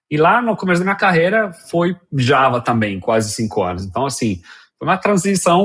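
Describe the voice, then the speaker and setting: A man's fairly high voice with very wide pitch swings at a moderate pace, quiet background behind it. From Colombia. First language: Spanish (speaking Portuguese). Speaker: software engineer. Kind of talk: interview. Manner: halting, many fillers.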